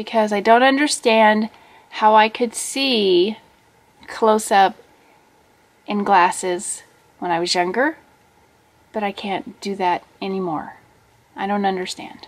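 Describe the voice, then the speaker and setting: A woman speaks at a fairly high pitch. Her very slow pace includes long, frequent pauses. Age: 40s. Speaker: vlogger. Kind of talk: casual vlog monologue. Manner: animated. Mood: puzzled, mildly exasperated. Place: home room. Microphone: webcam.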